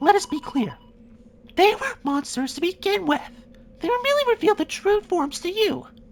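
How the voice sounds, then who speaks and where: A put-on character voice, squeaky and extremely high, fairly quick but broken by long, frequent pauses. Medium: fan dub. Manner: formal, clipped.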